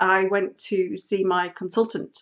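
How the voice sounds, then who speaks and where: Against a quiet background, a woman speaks very slowly at a medium pitch with ordinary pitch variation. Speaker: podcast host. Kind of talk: casual chat. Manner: hesitant, many fillers.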